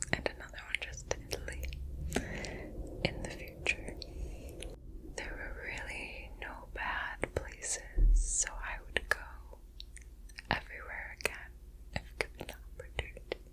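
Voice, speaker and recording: Whispering with big swings in loudness, a woman leaves long, frequent pauses over noticeable background noise. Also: fairly slow pace. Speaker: ASMR creator. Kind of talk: ASMR whisper ramble. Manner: whispered, soft-spoken; relaxed, casual.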